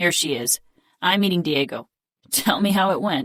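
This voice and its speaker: A raspy, put-on character voice at a middle pitch speaks at a moderate pace. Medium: read story. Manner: arrogant, cocky.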